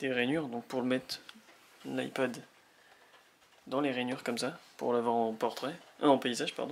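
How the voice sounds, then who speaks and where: The voice is quiet, with fairly even intonation and a moderate pace. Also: man. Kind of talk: product unboxing talk to camera. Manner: quiet, low volume.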